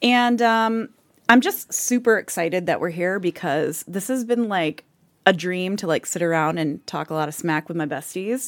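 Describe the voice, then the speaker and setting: In a very clean recording with a silent background, a woman with an unremarkable speaking voice talks at a moderate pace and medium pitch with lively intonation. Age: 40s. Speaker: podcast co-host and coach. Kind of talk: casual chat.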